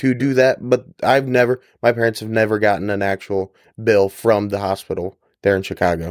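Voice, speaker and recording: An ordinary speaking voice with an American accent, fairly quick and fairly even in intonation, dry and close with no echo, on a very clean recording with a silent background. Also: man, fairly low pitch for a man. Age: 20s. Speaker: corrections officer. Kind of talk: interview.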